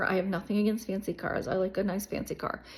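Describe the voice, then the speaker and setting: The woman's voice is somewhat breathy. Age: 60s. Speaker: YouTuber, life coach. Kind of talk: casual vlog monologue. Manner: animated.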